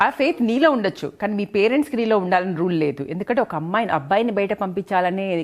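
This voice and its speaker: Here is a plain, everyday voice with lively intonation. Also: woman. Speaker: gynecologist. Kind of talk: interview host talk.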